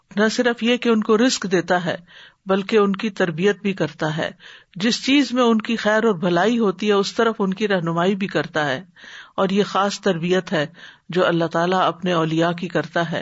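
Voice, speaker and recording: With ordinary pitch variation, a woman of medium pitch talks in an ordinary speaking voice. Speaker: Islamic scholar. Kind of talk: Islamic religious lecture.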